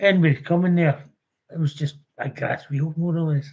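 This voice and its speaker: A man talks at a moderate pace with a fairly high pitch and a dark, mellow tone. His delivery is somewhat breathy and monotone, with flat intonation. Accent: west of Scotland. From Scotland, Renfrewshire. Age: 70s. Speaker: orphanage survivor and campaigner. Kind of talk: live stream testimony.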